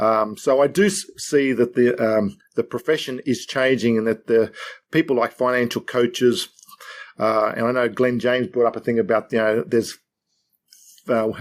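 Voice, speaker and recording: A man with an Australian accent speaks at a moderate pace in a medium-pitched voice with ordinary pitch variation. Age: 60s. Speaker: financial adviser and author. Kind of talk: podcast interview. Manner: halting.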